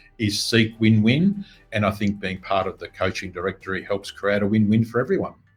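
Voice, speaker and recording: A man speaks at a fairly quick pace. His voice is fairly low-pitched and somewhat breathy. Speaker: business coach. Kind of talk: interview.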